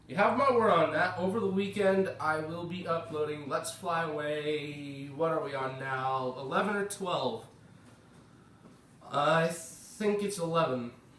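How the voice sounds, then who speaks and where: A high-pitched man with an American accent at a fairly slow pace, ordinary pitch variation, noticeable background noise and audible room echo. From United States. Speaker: gaming YouTuber. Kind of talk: gameplay commentary. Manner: casual.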